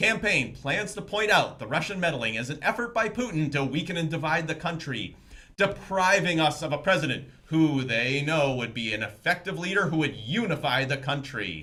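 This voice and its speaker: A man with a plain, everyday voice talks at a moderate pace with hardly any pauses, using lively intonation and a fairly high pitch. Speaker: fake news anchor / co-anchor. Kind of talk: satirical TV news anchor read.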